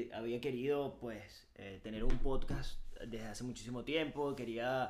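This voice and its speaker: In a Venezuelan accent, a man talks with audible room echo around him. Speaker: podcast co-host. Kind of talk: casual chat.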